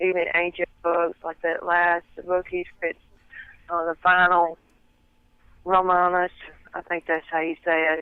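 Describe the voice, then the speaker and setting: In a strong Southern US accent, a woman speaks at a fairly low pitch with a monotone, flat intonation. Her pace is fairly slow, with long, frequent pauses. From US South. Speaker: interview guest, researcher of religious topics. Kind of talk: interview. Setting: phone call. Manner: careful to speak clearly.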